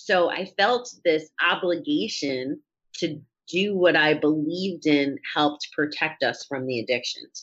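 Her voice an ordinary speaking voice, a woman talks fairly slowly at a fairly low pitch with lively intonation. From upstate New York. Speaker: person in recovery from alcohol. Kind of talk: interview.

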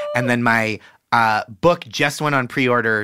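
Recorded very cleanly against a silent background, a man speaks in a bright, sharp tone. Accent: American. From Boston, US. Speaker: comedian. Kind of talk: casual chat.

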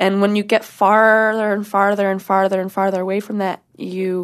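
Over a quiet background, a woman with an American accent speaks in a monotone, flat intonation. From US Pacific Northwest, Washington. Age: 20s. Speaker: adult film performer. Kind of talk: casual interview chat.

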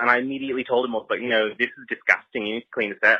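Here a man speaks at a medium pitch. His intonation stays monotone and flat. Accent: Australian. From United States. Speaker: listener leaving voicemail. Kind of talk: voicemail story. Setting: phone voicemail.

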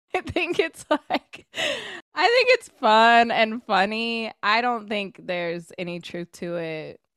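In a Californian accent, a woman with a fairly high voice speaks very slowly with very wide pitch swings, the sound dry and close with no echo. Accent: Californian American. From Sacramento, California. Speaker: sports host and writer. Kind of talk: casual chat.

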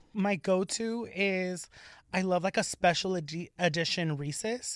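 A woman with an American accent speaks in a normal speaking voice at medium pitch and a fairly slow pace. The recording is very clean, with a silent background. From Los Angeles, California. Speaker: drag performer. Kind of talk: casual chat. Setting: studio.

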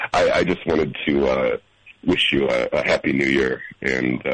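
Against noticeable background noise, a man speaks at a very slow pace in a dry, close sound with no echo. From Madison. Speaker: caller. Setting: phone.

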